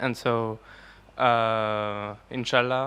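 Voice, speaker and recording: In a French accent, a man speaks with a bright, sharp tone and flat, monotone intonation. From France. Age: young. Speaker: audience member asking a question. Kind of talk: audience question. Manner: halting, many hesitations.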